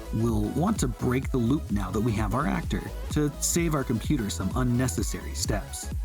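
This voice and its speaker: Over music in the background, a man with a very deep, low pitch speaks with very wide pitch swings and very even loudness. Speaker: 3D art and game development tutorial creator. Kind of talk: software tutorial narration. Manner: quick, concise.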